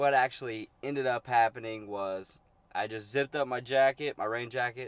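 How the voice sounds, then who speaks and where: Recorded dry and close with no echo, a man speaks at a moderate pace with fairly even intonation. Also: medium pitch for a man. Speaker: outdoor vlogger. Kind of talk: casual vlog narration. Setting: outdoors by water, fishing.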